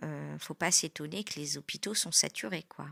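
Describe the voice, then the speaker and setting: Speaking at a very slow pace, a woman with a very deep, low voice has a bright, sharp tone and vocal fry, on a very clean recording with a silent background. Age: 40s. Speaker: former nurse, adult trainer. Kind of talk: testimony. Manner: hesitant, many filler sounds.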